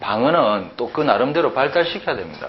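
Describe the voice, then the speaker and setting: Speaking in a Gyeongsang accent, a man uses an animated tone with very wide pitch swings, amid noticeable background noise and audible room echo. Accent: Gyeongsang dialect speaker. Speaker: Chinese and Hanja language teacher. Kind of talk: lecture. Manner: animated, conversational with rhetorical questions.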